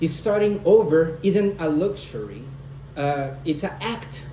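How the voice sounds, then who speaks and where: With a non-native accent, a man speaks very slowly with ordinary pitch variation amid audible room echo. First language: not English. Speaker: student speaker. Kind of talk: speech. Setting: at home with husband and dog listening.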